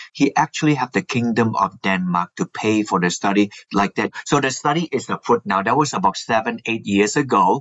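Using a normal speaking voice, a man talks at a fairly quick pace with lively intonation and hardly any pauses. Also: medium pitch for a man. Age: 60s. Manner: explanatory, says 'like that' often.

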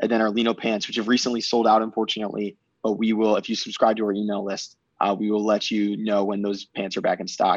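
A man with a Midwestern American accent and a fairly low voice talks very fast in a flat monotone against a quiet background. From Michigan. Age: 20s. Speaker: fashion brand co-founder. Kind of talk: casual interview. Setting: video call.

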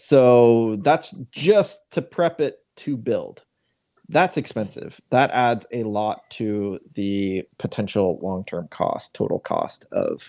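Speaking very slowly with an American accent, a man is heard against a quiet background. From Seattle. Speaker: podcast host and real estate agent. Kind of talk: casual chat.

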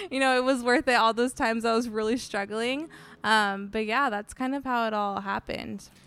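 A woman's normal speaking voice with an American accent, fairly high and fairly even in intonation, at a fairly quick pace on a very clean recording with a silent background. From San Diego, California. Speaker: recipe developer and blogger. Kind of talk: casual interview chat. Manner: casual, many fillers, laughs often.

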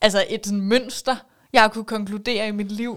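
A woman's fairly high voice in a flat, monotone intonation. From Copenhagen western suburbs, Denmark. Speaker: radio host. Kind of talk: casual chat.

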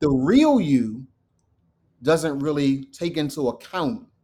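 With a dark, mellow tone, a man talks with the usual amount of pitch movement. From Delaware, US. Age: 50s. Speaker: social entrepreneur, men's coach. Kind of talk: interview conversation.

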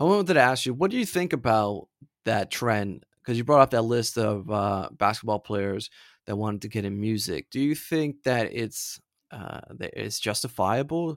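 With an American accent, a man talks at a moderate pace and medium pitch, using lively intonation in a plain, everyday voice. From Florida. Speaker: podcast co-host. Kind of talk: casual chat.

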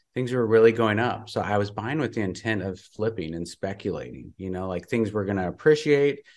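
Fairly quick and with hardly any pauses, a man speaks in a fairly low voice with ordinary pitch variation. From Montana. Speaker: real estate investor and coach. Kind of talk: interview. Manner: halting.

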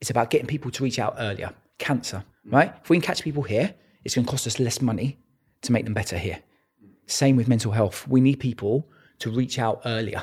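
A man speaks with a British accent at a medium pitch, sounding somewhat breathy. His pitch varies in an ordinary way, and the recording is very clean with a silent background. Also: fairly quick pace. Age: 30s. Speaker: entrepreneur. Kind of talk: casual chat.

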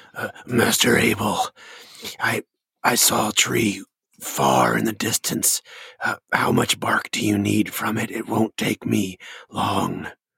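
Putting on a raspy character voice, a man speaks at a fairly slow pace with long, frequent pauses. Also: fairly low pitch for a man. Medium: actual play. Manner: hesitant, polite, eager to please.

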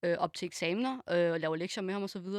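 A woman has an unremarkable speaking voice, medium in pitch, with fairly even intonation. The sound is dry and close with no echo, over a quiet background. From Denmark. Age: 20s. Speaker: special education assistant. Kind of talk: casual chat.

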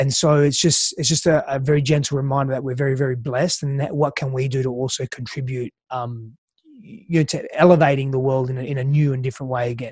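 The delivery is very fast and somewhat breathy, with a monotone, flat intonation. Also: man, medium pitch for a man. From Australia. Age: 30s. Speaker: relationships coach. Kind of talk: interview conversation.

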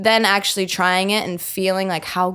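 A woman's medium-pitched voice in an American accent, flat and monotone at a moderate pace. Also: very clean recording, silent background. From central New Jersey, US. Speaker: singer-songwriter. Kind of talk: casual chat.

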